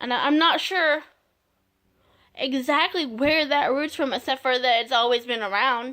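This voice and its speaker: A woman with a raised, projected voice speaks at a fairly slow pace, pitched high. Her tone is bright and sharp on a very clean recording with a silent background. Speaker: video blogger. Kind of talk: casual vlog monologue. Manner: halting, many fillers and restarts.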